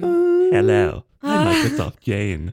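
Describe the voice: A put-on character voice comes through raspy. It sits at a low pitch.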